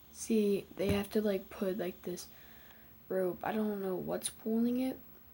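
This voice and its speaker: This speech is quiet. The pace is fairly slow. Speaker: video reactor. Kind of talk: reaction commentary. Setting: at home early morning, family asleep. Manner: halting.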